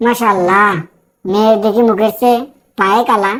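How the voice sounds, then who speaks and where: A woman's cartoonish character voice, fairly high in pitch, monotone and flat, at a fairly slow pace. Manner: glib, rhyming banter.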